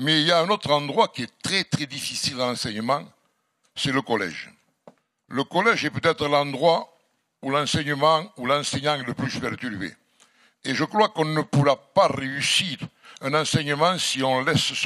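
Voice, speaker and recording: A man with a strong Catalan French accent speaks at a fairly slow pace, leaving long, frequent pauses. His voice is fairly high in pitch, with a bright, sharp tone and ordinary pitch variation. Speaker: mayor. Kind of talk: formal address at a public debate. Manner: formal.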